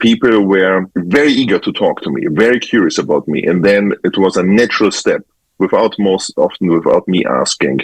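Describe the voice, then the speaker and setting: A man with a German accent is heard in a dry, close sound with no echo. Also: moderate pace. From Germany. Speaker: photographer. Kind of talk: interview. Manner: halting.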